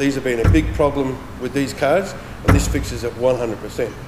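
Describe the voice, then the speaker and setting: A man with an Australian accent, ordinary pitch variation and a moderate pace, over noticeable background noise. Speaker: transmission specialist. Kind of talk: product demonstration. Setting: workshop. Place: workshop.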